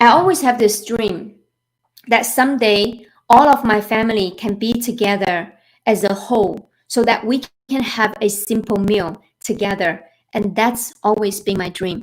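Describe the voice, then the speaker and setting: A woman with a Chinese accent, a fairly high pitch, ordinary pitch variation and a fairly slow pace. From China. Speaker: financial planner. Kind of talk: webinar presentation. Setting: live online webinar.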